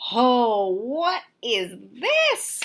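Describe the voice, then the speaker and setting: A woman's put-on character voice, high-pitched with very wide pitch swings. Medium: read story. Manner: sweet, wondering.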